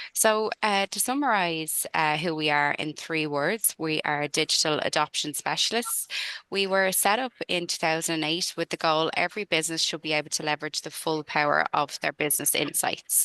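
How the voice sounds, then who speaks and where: In a Dublin accent, a woman with a very deep, low pitch and a bright, sharp tone speaks at a moderate pace with ordinary pitch variation, in a dry, echo-free sound against a quiet background. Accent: Irish (Dublin). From Ireland, Dublin. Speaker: sales consultant. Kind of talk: webinar presentation. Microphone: video call.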